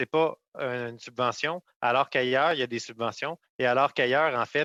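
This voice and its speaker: A man with a normal speaking voice talks at a medium pitch and moderate pace, with fairly even intonation in a dry, close sound with no echo. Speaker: member of parliament. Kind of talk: parliamentary committee questioning. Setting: parliamentary committee.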